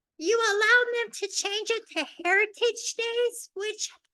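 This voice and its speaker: Projecting a raised voice with a bright, sharp tone, a woman speaks at a fairly slow pace with fairly even intonation. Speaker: public commenter. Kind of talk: public comment at council meeting.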